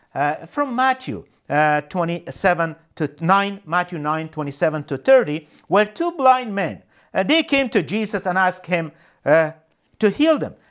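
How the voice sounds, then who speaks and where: Over a very clean recording with a silent background, a man with a high pitch speaks at a moderate pace with very wide pitch swings. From Afghanistan. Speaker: ministry director. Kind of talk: sermon. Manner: halting.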